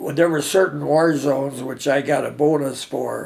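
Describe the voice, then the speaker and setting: A man talks at a moderate pace. He has an Upper Midwest accent. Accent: Upper Midwest American. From US Midwest. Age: 80s+. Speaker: war veteran. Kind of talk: oral history interview. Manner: halting. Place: home room.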